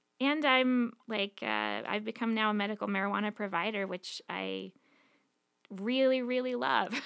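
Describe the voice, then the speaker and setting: A woman uses an ordinary speaking voice, fairly high in pitch with ordinary variation, at a moderate pace on a very clean recording with a silent background. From Montana, US. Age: 30s. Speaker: podcast guest sharing life story. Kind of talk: personal testimony.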